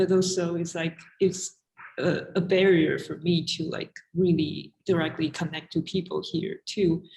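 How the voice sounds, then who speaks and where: Somewhat breathy and fairly low in pitch, a woman speaks fairly slowly with monotone, flat intonation. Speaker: artist. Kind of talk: panel discussion.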